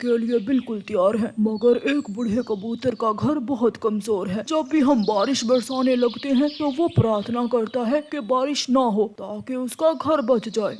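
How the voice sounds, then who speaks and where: A man puts on a cartoonish character voice at an extremely high pitch, with light background noise behind him. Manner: calm, explanatory.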